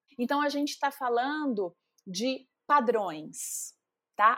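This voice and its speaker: A woman's high voice with lively intonation, in a very clean recording with a silent background. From Brazil, Minas Gerais (Carangola, Zona da Mata). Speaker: psychologist. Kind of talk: interview.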